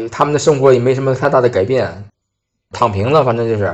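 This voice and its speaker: Against a quiet background, a man with a plain, everyday voice speaks at medium pitch and a fairly quick pace, with ordinary pitch variation. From Hebei, Baoding. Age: 30s. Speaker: new energy industry worker posted abroad. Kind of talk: first-person storytelling.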